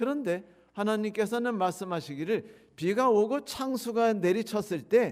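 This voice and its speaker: A man's high voice moves at a fairly slow pace, with ordinary pitch variation. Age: 60s. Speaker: pastor. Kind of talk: sermon.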